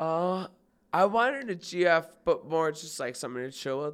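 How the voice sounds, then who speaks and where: Fairly high in pitch, a man with an unremarkable speaking voice talks at a moderate pace with lively intonation. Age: 20s. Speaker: podcast guest. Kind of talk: casual chat.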